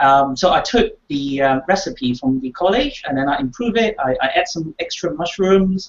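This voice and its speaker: Lively intonation marks a man's voice pitched high. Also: moderate pace, hardly any pauses. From Hong Kong. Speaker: game player guest. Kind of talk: casual chat. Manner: halting, many fillers.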